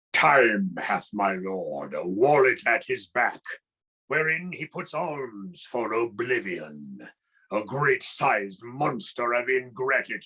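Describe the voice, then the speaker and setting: Using a put-on character voice, a man speaks at a fairly slow pace with lively intonation and medium pitch. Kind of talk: Shakespearean, theatrical.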